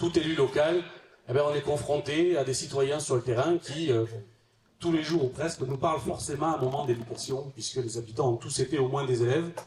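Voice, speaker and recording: Noticeable background noise surrounds a man who speaks with long, frequent pauses. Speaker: local politician and debate moderator. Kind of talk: panel moderation introduction. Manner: hesitant, many fillers.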